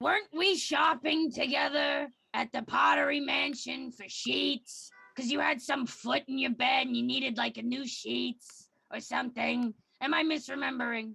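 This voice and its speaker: A put-on character voice, female-sounding and raspy, pitched fairly high. It moves at a moderate pace. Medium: game stream. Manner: playful, casual.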